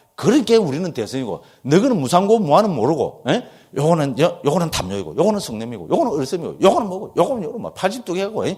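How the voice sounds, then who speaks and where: A man with a strong Gyeongsang accent, high in pitch for a man, animated in tone, very fast, with very wide pitch swings. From Gyeongsang region, South Korea. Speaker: Buddhist monk teacher. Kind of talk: lecture.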